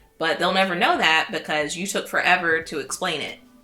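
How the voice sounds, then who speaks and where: A woman with a fairly low pitch speaks at a fairly quick pace with ordinary pitch variation. Noticeable background noise is present. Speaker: content creator. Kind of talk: casual vlog talk. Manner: halting.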